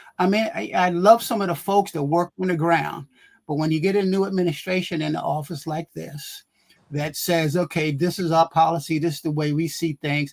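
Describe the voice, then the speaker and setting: A man speaks at a moderate pace in a high pitch, with a dry, close sound and no echo. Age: 70s. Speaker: health magazine publisher, panelist. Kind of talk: talk show panel discussion. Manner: animated.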